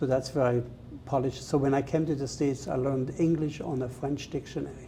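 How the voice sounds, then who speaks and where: A very fast pace in a Swiss German accent. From Switzerland. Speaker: chef. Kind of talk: interview.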